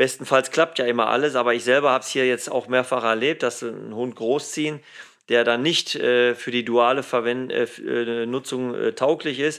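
Speech at a moderate pace with fairly even intonation comes through in a very clean recording against a silent background. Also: man. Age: 50s. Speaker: police dog handler and trainer. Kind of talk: casual interview. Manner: hesitant, many fillers.

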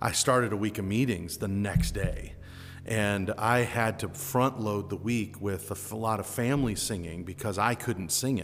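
A man speaks with an American accent at a moderate pace, his pitch fairly low. His pitch varies in an ordinary way, with music playing in the background. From United States. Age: 40s. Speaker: podcast host and gospel singer. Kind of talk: casual interview. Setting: room at a summer camp.

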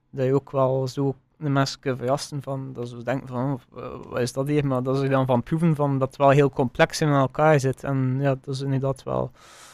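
A man talks at medium pitch and a moderate pace in a flat monotone, with big swings in loudness. The sound is dry and close, with no echo. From West Flanders, Belgium (Wervik). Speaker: chef. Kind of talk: casual interview.

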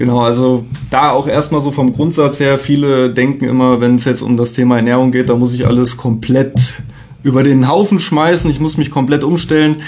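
A man with an unremarkable speaking voice, medium pitch, moderate pace, very even loudness and fairly even intonation. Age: 30s. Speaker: health coach. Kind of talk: casual interview chat.

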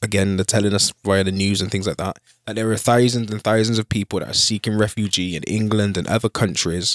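In a very clean recording with a silent background and a dry, close sound with no echo, a man has a plain, everyday voice, fairly low in pitch with ordinary pitch variation. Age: 30s. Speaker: podcast co-host. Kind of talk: casual chat.

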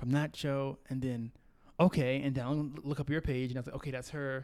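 Very clean audio of a man talking, the background silent. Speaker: podcast host. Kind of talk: casual chat. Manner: animated.

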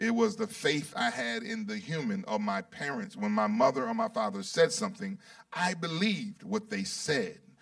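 A man speaks in an animated tone. His pitch is high, with ordinary variation. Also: moderate pace. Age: 50s. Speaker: bishop preaching. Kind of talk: sermon.

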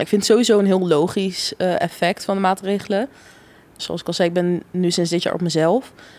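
A woman talks at a moderate pace in a medium pitch with fairly even intonation. It is an ordinary speaking voice. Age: 20s. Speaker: law student. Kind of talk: casual chat.

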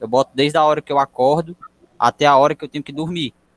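Talking at a fairly quick pace, a man keeps a monotone, flat intonation, and the sound is dry and close with no echo. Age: 20s. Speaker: civil engineering student. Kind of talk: casual chat.

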